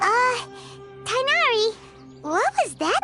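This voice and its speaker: A put-on character voice, extremely high in pitch and bubbly and energetic in tone, over clear music in the background. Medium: video game. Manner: bubbly, energetic.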